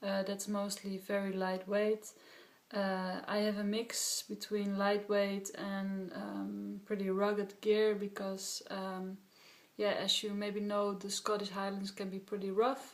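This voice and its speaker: A woman with a Dutch accent speaks very slowly in a monotone, flat intonation. Noticeable background noise runs underneath. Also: medium pitch for a woman. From Netherlands. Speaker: hiker vlogger. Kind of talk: gear tutorial. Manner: halting, many filler sounds.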